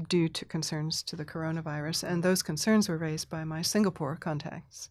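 Fairly low-pitched woman with an American accent, a plain, everyday voice, fairly even intonation, very clean recording and silent background. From Thailand (mission community), then US. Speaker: Presbyterian minister and spiritual director. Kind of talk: casual chat.

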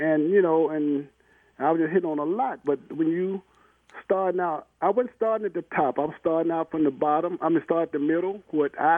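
A man's fairly high pitch, with ordinary pitch variation at a moderate pace. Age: 60s. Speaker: caller. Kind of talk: rambling phone call. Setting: phone call. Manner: meandering, halting.

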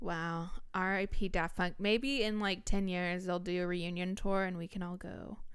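A woman speaks at a moderate pace with hardly any pauses, in a plain, everyday voice. Her pitch is medium and her intonation fairly even. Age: 20s. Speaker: podcast co-host. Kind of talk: casual chat. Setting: studio.

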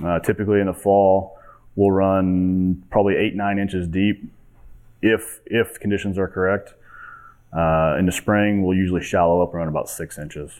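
This man has an American accent and a very deep, low pitch. He speaks at a moderate pace in a monotone, flat intonation. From Kansas. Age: 30s. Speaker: farmer. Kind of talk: conference presentation.

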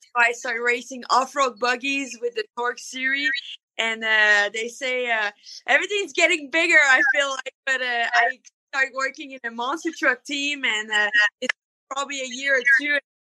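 A high-pitched woman's raised, projected voice, bright and sharp in tone, with a dry, close sound and no echo. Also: ordinary pitch variation, moderate pace. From Canada. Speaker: monster truck driver. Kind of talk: casual interview.

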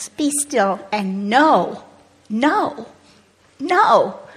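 Noticeable background noise is audible throughout. The voice belongs to a woman. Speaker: church member, alumna. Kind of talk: testimony.

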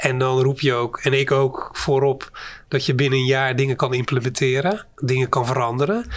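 This man has an unremarkable speaking voice, a fairly high pitch, and a moderate pace. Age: 50s. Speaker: company CEO. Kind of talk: interview.

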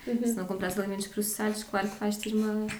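Audible room echo surrounds a woman's voice. Noticeable background noise is also present. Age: 20s. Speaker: blogger. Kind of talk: casual interview.

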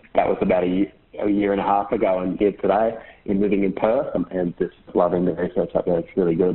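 In an Australian accent, a man speaks at a very fast pace and a fairly low pitch. His intonation is monotone and flat. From Queensland, Australia. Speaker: PhD researcher in ecology. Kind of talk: interview.

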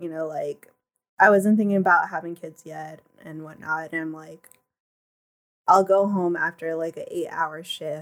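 Soft-spoken and at a moderate pace, a woman with a fairly low pitch uses fairly even intonation, her loudness swinging widely between long, frequent pauses. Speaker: podcast guest. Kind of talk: casual chat.

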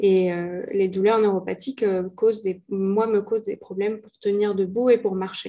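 A woman's dark, mellow, medium-pitched voice, monotone and flat, at a moderate pace with big swings in loudness. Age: 20s. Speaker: entrepreneur and mentor with chronic illness. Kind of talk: interview testimony.

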